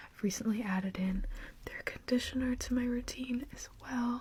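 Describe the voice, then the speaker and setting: Soft-spoken and whispering, the speaker keeps a moderate pace. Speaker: beauty vlogger. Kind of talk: casual chat. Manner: partly whispering.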